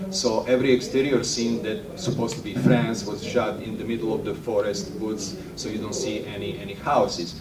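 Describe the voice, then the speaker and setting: Over noticeable background noise, a man at medium pitch talks at a moderate pace with hardly any pauses, lively intonation and big swings in loudness. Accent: European. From Europe. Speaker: filmmaker. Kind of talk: workshop talk. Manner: halting, many fillers.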